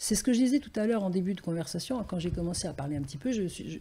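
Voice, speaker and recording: With lively intonation, a woman speaks in a somewhat breathy, fairly low voice that has a dark, mellow tone. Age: 70s. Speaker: grandmother and wellbeing guest. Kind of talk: casual interview chat. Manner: animated.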